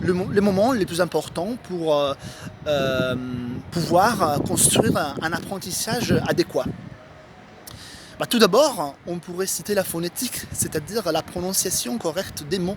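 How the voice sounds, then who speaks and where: Through noticeable background noise, a man speaks at a high pitch and a fairly slow pace with ordinary pitch variation. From Italy. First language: Italian (speaking French). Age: 20s. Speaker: writer giving language tips. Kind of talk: tutorial. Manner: halting, many hesitations.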